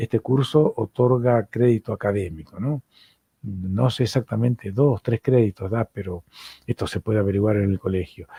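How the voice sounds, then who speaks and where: At a moderate pace, a man with an Argentine accent speaks at a medium pitch with ordinary pitch variation, his somewhat breathy voice dark and mellow. The sound is dry and close with no echo, and the recording is very clean with a silent background. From Argentina. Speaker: psychoanalyst and university lecturer. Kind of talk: lecture.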